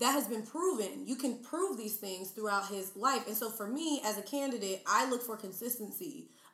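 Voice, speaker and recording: With noticeable background noise behind her, a woman speaks at a fairly high pitch with lively intonation. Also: moderate pace. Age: 20s. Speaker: YouTuber, podcaster and flight attendant. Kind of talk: casual chat.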